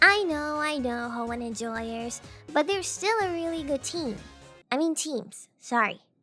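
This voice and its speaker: Raised, projected voice in an upbeat, playful tone with lively intonation over music in the background. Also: woman. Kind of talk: casual gaming commentary.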